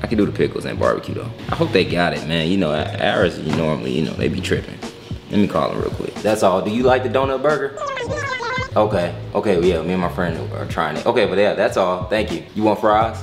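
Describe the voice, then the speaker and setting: Clear music plays in the background as a man with a fairly low voice talks at a very fast pace. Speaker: vlogger. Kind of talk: casual vlog chat. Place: home room. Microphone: phone near.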